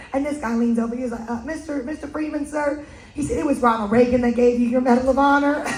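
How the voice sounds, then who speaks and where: A woman with an American accent speaks very fast at a high pitch, in an animated tone. Audible room echo and noticeable background noise come through. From United States. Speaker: cruise event host. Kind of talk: live event hosting.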